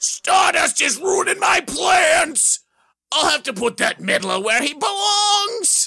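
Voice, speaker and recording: A man shouts in a put-on character voice, extremely high-pitched and raspy, at a fairly slow pace. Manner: angry, menacing.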